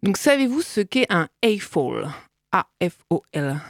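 Very wide pitch swings in a dry, close sound with no echo. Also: woman. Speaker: radio co-host. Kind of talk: satirical radio chronicle and casual chat. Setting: radio studio.

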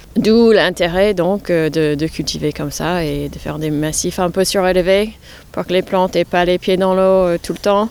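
A woman's fairly low voice at a fairly slow pace, with fairly even intonation. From New York, US. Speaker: head gardener. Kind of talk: interview. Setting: outdoors. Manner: halting.

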